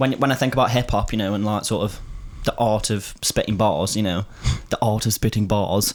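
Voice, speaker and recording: Fairly quick speech from a man, fairly low in pitch and fairly even in intonation. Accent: Stoke. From northern England, Stoke-on-Trent. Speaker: podcast host and rapper. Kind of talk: casual chat.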